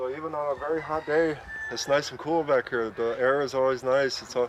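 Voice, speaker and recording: Fairly high-pitched and monotone, a man with an American accent talks at a fairly quick pace over noticeable background noise. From US West Coast (Altadena, California). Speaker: compost gardener. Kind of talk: casual tour and chat. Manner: halting, many fillers.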